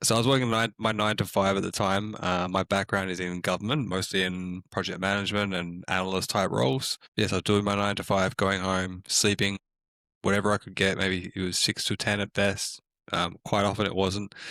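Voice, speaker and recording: The voice moves at a fairly quick pace with a bright, sharp tone and fairly even intonation, in a dry, close sound with no echo on a very clean recording with a silent background. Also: man, fairly low pitch for a man. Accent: Australian. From Australia. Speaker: community manager at a tech startup. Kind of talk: podcast interview.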